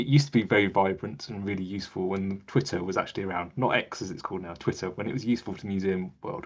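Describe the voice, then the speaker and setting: A man talks at a very fast pace. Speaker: museum digital strategist. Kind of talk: webinar presentation.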